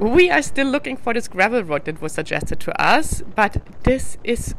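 Music sits in the background as a woman speaks, the sound dry with no echo. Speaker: travel vlogger. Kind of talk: casual vlog chat. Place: motorbike. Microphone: helmet.

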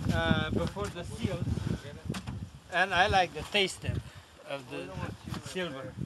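The speaker goes at a fairly slow pace, with long, frequent pauses. Loud background noise fills the recording. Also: man. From Romania. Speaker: commercial salmon fisherman. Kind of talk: interview answer. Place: boat. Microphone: camera far.

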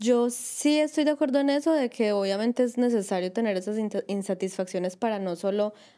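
Over a quiet background, a woman speaks at a moderate pace with lively intonation and a fairly high pitch. Her tone is dark and mellow. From Colombia. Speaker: podcast co-host, migrant; podcast co-host. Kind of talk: casual chat. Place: home room.

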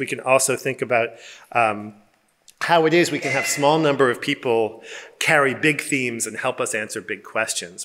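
His tone is bright and sharp. The speaker is a man. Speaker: presenter. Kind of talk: presentation describing a seminar. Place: hall. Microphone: podium.

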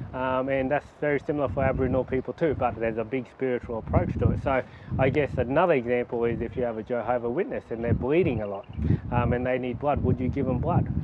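Loud background noise sits behind a man talking at a very fast pace. His pitch varies in an ordinary way, and the sound is dry with no echo. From Mount Isa, northwest Queensland, Australia; Queensland, Australia. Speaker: doctor. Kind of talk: interview answers. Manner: halting with frequent fillers. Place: garden.

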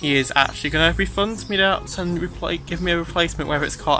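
Faint music plays behind a man who talks very fast with ordinary pitch variation, the sound dry with no echo. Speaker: vlogger. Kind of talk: casual vlog chat. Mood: upbeat, excited. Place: garden. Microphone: phone near.

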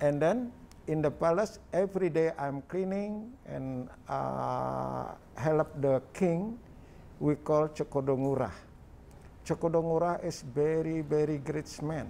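Over light background noise, a man with a Balinese accent talks very slowly, his fairly high voice dark and mellow, with ordinary pitch variation. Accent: Balinese Indonesian. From Indonesia. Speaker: artist. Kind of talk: interview answer. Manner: halting. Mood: warm, smiling. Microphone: lapel.

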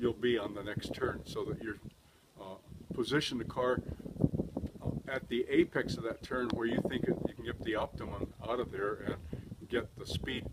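A man talks at a moderate pace, leaving long, frequent pauses. Loud background noise runs under his voice. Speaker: race car driver. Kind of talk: interview answer. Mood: relaxed, cheerful. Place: street.

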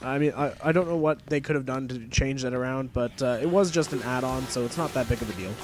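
A man with a medium pitch and ordinary pitch variation talks at a very fast pace over noticeable background noise. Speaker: gaming video commentator. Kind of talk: let's play commentary. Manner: rambling, filler-heavy casual talk.

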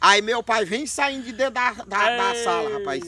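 A man's raised, projected voice, bright and sharp in tone, in a dry sound with no echo. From Maranhão, Brazilian Northeast. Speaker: storyteller comedian. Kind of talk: comic storytelling. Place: open country. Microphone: camera far.

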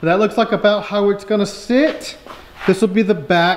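A man is talking. His pace is fairly quick. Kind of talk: tutorial. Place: workshop. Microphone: phone near.

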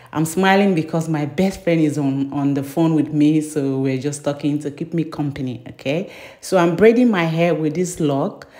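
At a moderate pace, a woman speaks with a very deep, low pitch and a dark, mellow tone. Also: ordinary pitch variation, quiet background. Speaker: beauty vlogger. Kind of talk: tutorial. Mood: cheerful, smiling. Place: bathroom. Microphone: phone near.

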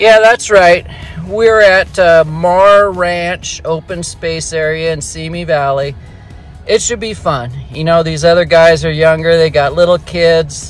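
A man's high-pitched voice at a fairly slow pace, with ordinary pitch variation and faint music in the background. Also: dry sound with no echo. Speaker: mountain biker vlogger. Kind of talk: casual vlog chat. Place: car. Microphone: phone near.

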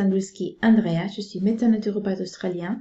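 Against a quiet background, a woman speaks at a fairly slow pace. Her intonation stays fairly even. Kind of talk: health explainer talk. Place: home room. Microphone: webcam.

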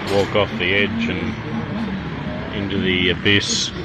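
Loud background noise sits behind a man's voice. The sound is dry, with no echo. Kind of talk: casual vlog chat. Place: cafe. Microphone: phone near.

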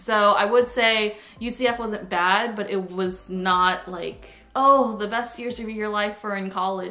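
A woman speaks in an American accent. Her pace is fairly slow and her intonation fairly even. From Florida. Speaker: YouTuber. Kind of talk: casual vlog storytime. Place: home room. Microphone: camera far.

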